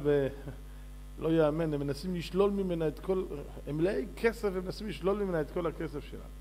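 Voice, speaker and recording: Light background noise runs under the recording. A man speaks at a moderate pace. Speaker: religious teacher. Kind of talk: sermon. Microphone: podium.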